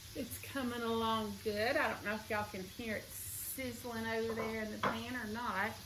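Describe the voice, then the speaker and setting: With a Southern US accent, a woman speaks in a monotone, flat intonation amid audible room echo and noticeable background noise. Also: fairly high pitch for a woman, moderate pace, hardly any pauses. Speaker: cooking vlogger. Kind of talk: cooking tutorial. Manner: casual, chatty.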